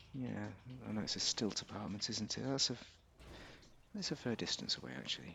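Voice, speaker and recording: A man talks at a fairly quick pace with a British accent. His speech is broken by long, frequent pauses. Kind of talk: casual gameplay commentary.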